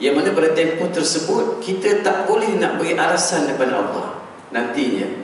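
Strong room echo and light background noise surround a high-pitched man. He speaks at a moderate pace with lively intonation. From Malaysia. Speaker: religious preacher. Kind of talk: sermon. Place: church.

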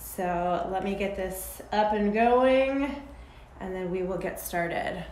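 Against audible room echo, a woman speaks at a very slow pace with ordinary pitch variation. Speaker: fitness instructor. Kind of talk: live workout class instruction.

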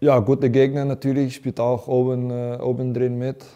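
A man's dark, mellow tone in a monotone, flat intonation over a quiet background. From Netherlands. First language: Dutch (speaking German). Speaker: professional footballer. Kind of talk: interview. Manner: halting, many fillers. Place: studio. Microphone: lapel.

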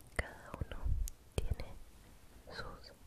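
The voice belongs to a woman. She speaks in a whisper. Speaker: ASMR creator. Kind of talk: guided relaxation for sleep. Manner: soft-spoken, slow. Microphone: studio mic.

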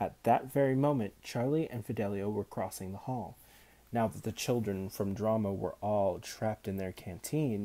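Pitch shifts in an ordinary way through a natural reading voice.

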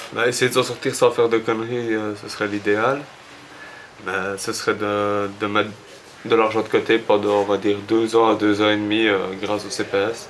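At a moderate pace with long, frequent pauses, the voice stays monotone and flat over light background noise. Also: man, fairly low pitch for a man. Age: 20s. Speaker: homeless young man. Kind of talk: interview. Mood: subdued, hesitant. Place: home room.

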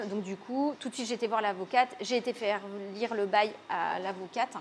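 A woman speaks at a moderate pace with a fairly high pitch, over light background noise. Her intonation stays fairly even. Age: 30s. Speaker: restaurant owner. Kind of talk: interview. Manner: hesitant, many fillers. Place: cafe.

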